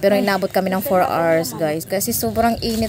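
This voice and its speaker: With a Visayan accent, a woman talks at a fairly quick pace and medium pitch, with ordinary pitch variation over noticeable background noise. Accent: Visayan accent in Tagalog. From Visayas, Philippines. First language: Cebuano (speaking Tagalog). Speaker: travel vlogger. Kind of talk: vlog voice-over. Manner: casual, chatty.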